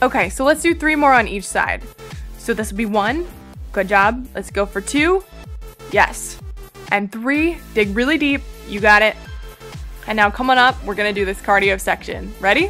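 Faint music plays in the background as a woman speaks at a moderate pace. Her speech has long, frequent pauses. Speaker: fitness instructor. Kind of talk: workout instruction. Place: beach.

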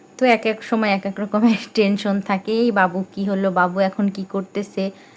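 The woman's pitch sits at a medium level. Her intonation is flat and monotone. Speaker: vlogger and home cook. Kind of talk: voiceover narration of cooking vlog.

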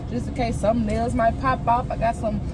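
A woman is speaking. Loud background noise runs through the clip. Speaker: lifestyle vlogger. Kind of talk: casual vlog chat. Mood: playful, chatty, laughing. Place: car. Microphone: phone near.

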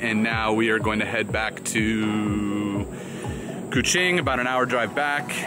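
The recording is dry with no echo, and clear music plays in the background. A man talks at a fairly slow pace. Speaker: travel vlogger. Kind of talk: casual vlog chat. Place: waterside. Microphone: phone near.

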